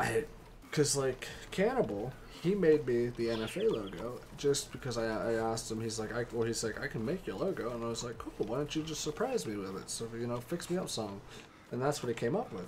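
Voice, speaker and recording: Noticeable background noise fills the clip. A man speaks fairly quickly over it. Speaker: gaming streamer. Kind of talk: live gameplay commentary. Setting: live stream. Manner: casual, halting with repeated false starts.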